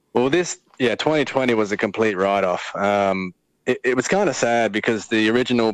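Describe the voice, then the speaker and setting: With an Australian accent, a man talks at a moderate pace and a medium pitch, with ordinary pitch variation. The sound is dry and close, with no echo. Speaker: motocross racer. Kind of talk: casual chat. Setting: phone call.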